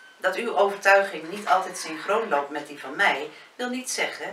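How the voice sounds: A natural reading voice carries lively intonation.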